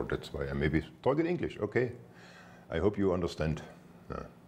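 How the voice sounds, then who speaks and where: This is a man's voice. He speaks with a German accent. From Germany. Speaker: spiritual teacher. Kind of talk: spiritual talk. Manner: halting, repetitive.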